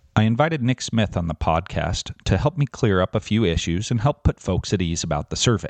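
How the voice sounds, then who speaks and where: With an unremarkable speaking voice, a man of fairly low pitch talks at a fairly quick pace with lively intonation and hardly any pauses. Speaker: podcast host and teachers' association representative. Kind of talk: interview.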